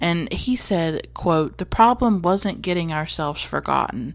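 A woman with a Southern US accent talks at a moderate pace. Her voice sits fairly low. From North Carolina, US South. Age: 20s. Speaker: podcast host. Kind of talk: solo personal monologue about films. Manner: reflective, personal, nostalgic.

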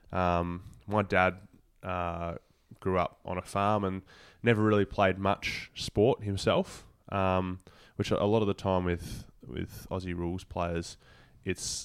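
On a very clean recording with a silent background, a man talks fairly slowly in a very deep, low pitch with fairly even intonation. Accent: Australian. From Tasmania, Australia (Devonport). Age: 20s. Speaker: professional footballer. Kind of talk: interview.

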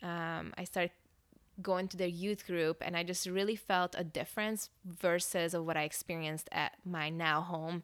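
In a fairly low pitch and with a slight Hungarian accent, a woman speaks at a moderate pace with monotone, flat intonation. The recording is very clean, with a silent background. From Hungary, moved to Northern California at ten. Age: 30s. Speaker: church staff pastor. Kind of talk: personal testimony.

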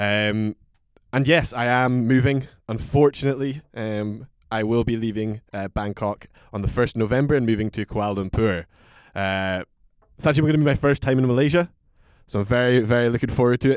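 A man with a Scottish accent at a fairly quick pace, with ordinary pitch variation and a dry, close sound with no echo. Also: medium pitch for a man, very clean recording, silent background. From Aberdeen, Scotland. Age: 20s. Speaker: whisky brand ambassador. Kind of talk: casual chat.

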